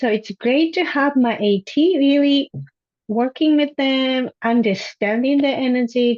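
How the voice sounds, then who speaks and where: The speaker, in a Japanese accent, talks at a fairly slow pace with ordinary pitch variation and very even loudness over a quiet background. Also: woman, dry, close sound with no echo. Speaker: high school Japanese teacher. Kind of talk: panel discussion.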